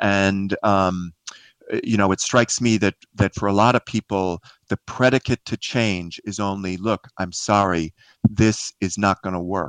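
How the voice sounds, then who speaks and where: In a normal speaking voice, a man with an American accent talks at a fairly slow pace with fairly even intonation and a fairly low pitch, the sound dry and close with no echo against a quiet background. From New York City (Queens). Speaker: author and leadership speaker. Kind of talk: interview. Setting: remote call.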